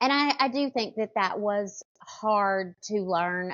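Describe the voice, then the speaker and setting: In a dry, close recording with no echo, a woman with a Southern US accent speaks with lively intonation. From US South, small town. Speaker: hairstylist. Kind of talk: podcast interview.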